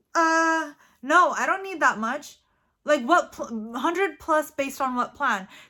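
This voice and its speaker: On a very clean recording with a silent background, a woman uses a raised, projected voice, high in pitch, with a bright, sharp and animated tone, ordinary pitch variation and a fairly slow pace. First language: not English. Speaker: weight-loss vlogger. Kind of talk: casual vlog monologue. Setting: studio.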